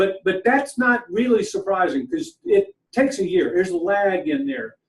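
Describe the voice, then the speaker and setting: A man's high-pitched voice at a moderate pace, with very wide pitch swings. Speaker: real estate economist. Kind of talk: presentation-style interview. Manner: halting, many repeated words.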